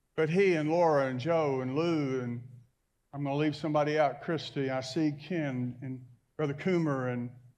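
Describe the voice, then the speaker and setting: Audible room echo surrounds a man who speaks at a moderate pace with fairly even intonation. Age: 60s. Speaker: pastor. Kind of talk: sermon. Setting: church.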